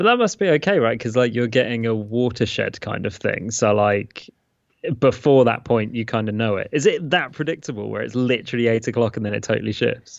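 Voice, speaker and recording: A man with a British accent talks at a fairly quick pace with ordinary pitch variation. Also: medium pitch for a man. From England. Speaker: podcast co-host and father. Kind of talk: casual chat. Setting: remote call. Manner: self-described poor enunciation.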